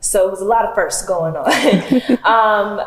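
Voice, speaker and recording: Amid audible room echo and noticeable background noise, a woman with a medium-pitched voice speaks at a moderate pace. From Alabama, Montgomery. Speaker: actor, recent graduate. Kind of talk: panel interview.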